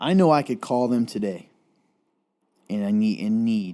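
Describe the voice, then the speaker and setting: With a slight Southern US accent, a man speaks slowly at a fairly low pitch in a dark, mellow tone with ordinary pitch variation. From Eastern Kentucky (Appalachia). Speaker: talk show co-host. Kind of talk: casual chat.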